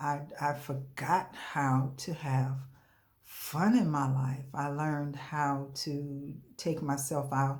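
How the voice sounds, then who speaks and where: A woman talks very slowly in a very deep, low, somewhat breathy voice. Room echo is audible. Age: 60s. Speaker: coaching client giving a testimonial. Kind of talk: testimony. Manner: hesitant, frequent fillers.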